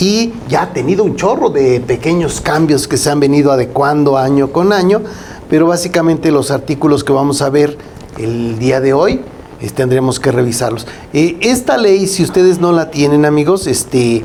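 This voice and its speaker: In a recording with audible room echo and noticeable background noise, a man speaks at a fairly high pitch. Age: 60s. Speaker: accountant, co-host. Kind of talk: casual legal talk show discussion.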